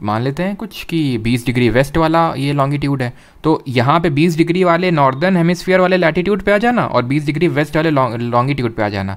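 Lively intonation marks a man's unremarkable speaking voice, delivered at a moderate pace. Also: fairly high pitch for a man. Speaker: online exam-prep teacher. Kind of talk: lecture. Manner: conversational, addresses chat viewers.

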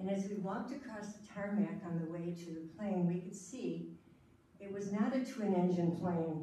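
This is a woman's voice with audible room echo. Light background noise is present. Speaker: storyteller. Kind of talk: storytelling performance. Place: hall. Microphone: camera far.

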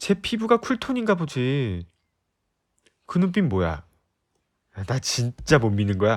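A man of medium pitch with very wide pitch swings at a fairly slow pace, on a very clean recording with a silent background. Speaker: voice actor. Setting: ASMR recording, close-mic studio. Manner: bold, teasing bluster, loudly daring her to look him over.

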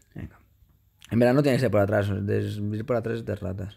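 An animated tone comes through at a moderate pace in a very clean recording with a silent background. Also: man. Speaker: gaming youtuber. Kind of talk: gameplay commentary.

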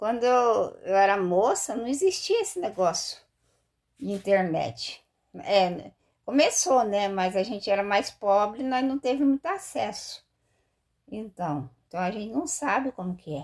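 A woman's fairly high voice at a fairly slow pace, very wide pitch swings, quiet background. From Brazil. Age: 50s. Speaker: vlogger, street vendor. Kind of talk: casual vlog monologue. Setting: bathroom at home. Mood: candid, slightly rueful. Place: home room. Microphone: phone near.

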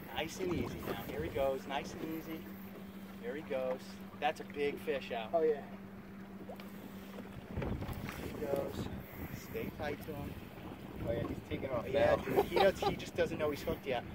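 A man speaks with long, frequent pauses, his voice dry with no echo, against loud background noise. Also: moderate pace. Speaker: fishing guide. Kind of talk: excited live coaching. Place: boat. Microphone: phone near.

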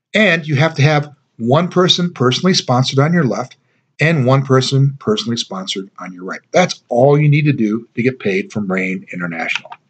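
Somewhat breathy and confident, a man speaks at a fairly quick pace, with very wide pitch swings and big swings in loudness. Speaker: network marketing distributor. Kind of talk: sales pitch. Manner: persuasive, upbeat; confident, emphatic. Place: home room. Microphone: webcam.

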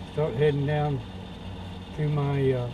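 Noticeable background noise sits behind this man's voice. He speaks at a fairly slow pace with ordinary pitch variation. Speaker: traveler vlogger. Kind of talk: casual vlog chat. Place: car. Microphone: camera far.

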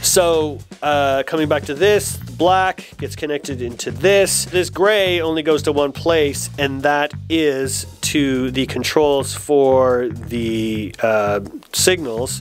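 Faint music plays behind a man whose fairly high voice moves with ordinary pitch variation at a slow pace.

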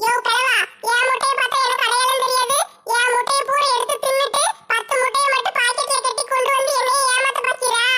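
A woman puts on a character voice with an extremely high pitch. Her intonation is monotone and flat, and her pace is moderate. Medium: comedy sketch. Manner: sharp, scolding.

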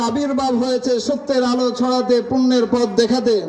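The tone is passionate. Noticeable background noise runs underneath. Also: man. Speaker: Islamic scholar giving a sermon. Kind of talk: Islamic waz sermon to a live audience. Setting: public gathering with PA system. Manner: passionate, rhetorical, loud sermon delivery.

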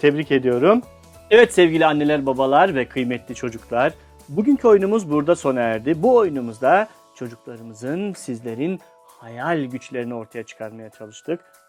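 Over music in the background, a man with a fairly high pitch speaks in an upbeat, playful tone, his loudness swinging widely. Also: lively intonation, moderate pace. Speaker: meddah storyteller and writer. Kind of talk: family game host talk to camera.

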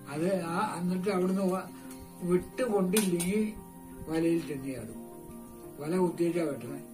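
Big swings in loudness over clear music in the background. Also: man. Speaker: village elder, storyteller and home cook; grandfather storyteller. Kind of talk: casual storytelling to camera while cooking. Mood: cheerful, smiling. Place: home room. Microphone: camera far.

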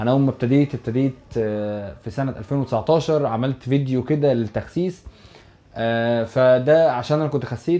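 An Egyptian accent with fairly even intonation. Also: man. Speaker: YouTuber. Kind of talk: casual vlog address to viewers. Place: home room. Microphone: lapel.

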